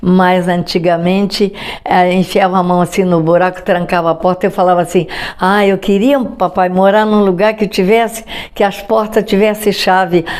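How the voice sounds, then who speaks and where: Against noticeable background noise, a woman speaks at a moderate pace in a medium pitch with monotone, flat intonation. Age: 90s. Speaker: grandmother interviewee. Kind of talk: life story interview.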